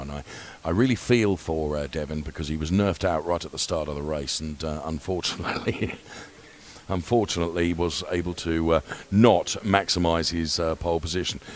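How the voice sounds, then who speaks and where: A man puts on a character voice that is quiet, raspy and very deep, low in pitch. He talks at a fairly quick pace over light background noise. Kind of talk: commentary on a race. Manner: quiet, hushed.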